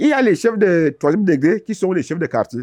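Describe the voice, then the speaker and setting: A man talks in a high pitch that swings very widely up and down. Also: very clean recording, silent background. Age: 70s. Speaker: traditional village chief. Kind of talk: interview.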